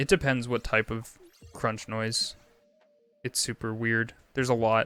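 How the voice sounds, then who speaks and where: Music plays in the background as a man talks at a fairly slow pace in a medium pitch. His intonation is fairly even, and the sound is dry and close with no echo. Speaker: video game streamer. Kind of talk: casual chat while gaming livestream.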